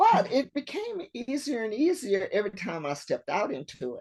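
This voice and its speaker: Her pitch swings very widely. The woman keeps a moderate pace. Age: 70s. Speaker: retired Air Force veteran and public-speaking club leader. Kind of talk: casual interview.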